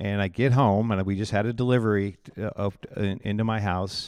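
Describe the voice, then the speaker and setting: The delivery is monotone and flat, captured in a very clean recording against a silent background. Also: man. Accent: Midwestern American. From Iowa, US Midwest. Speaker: pastor and ministry director. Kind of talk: personal testimony in casual interview.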